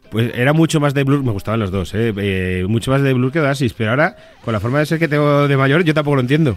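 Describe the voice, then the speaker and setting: Over music in the background, a man at medium pitch races along at a very fast pace with hardly any pauses and lively intonation. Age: 30s. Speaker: author. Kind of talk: interview. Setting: studio.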